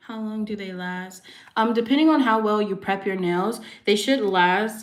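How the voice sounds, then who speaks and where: There is audible room echo as a soft-spoken woman talks at a fairly slow pace. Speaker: nail artist. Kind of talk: livestream tutorial chat. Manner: casual with fillers.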